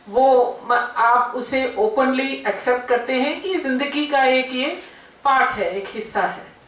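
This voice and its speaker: The speech shows ordinary pitch variation, with audible room echo. Noticeable background noise runs underneath. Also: woman. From South India. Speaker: guest speaker. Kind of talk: speech at college event. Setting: seminar hall with audience. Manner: unscripted, hesitant.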